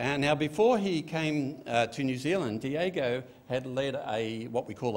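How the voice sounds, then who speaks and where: With an Australian accent, a man talks at a moderate pace in a fairly high pitch with lively intonation. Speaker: pastor. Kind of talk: sermon. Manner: casual, conversational. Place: church. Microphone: podium.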